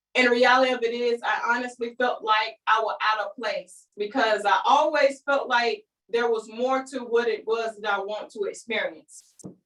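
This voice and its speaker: With a North Carolina accent, a woman speaks in a high pitch with an animated tone, ordinary pitch variation, a moderate pace and hardly any pauses. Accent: Southern rural North Carolina. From eastern North Carolina (Kinston). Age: 30s. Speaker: business coach. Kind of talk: online training presentation.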